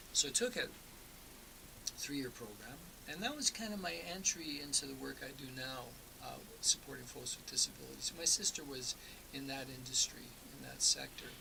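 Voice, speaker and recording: A speaker with a Canadian accent talks at a fairly quick pace, broken by long, frequent pauses, and the loudness swings a lot. Noticeable background noise runs underneath. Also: man. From eastern Canada. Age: 60s. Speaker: folk singer-songwriter. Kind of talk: radio interview. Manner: casual, with frequent fillers and repetitions.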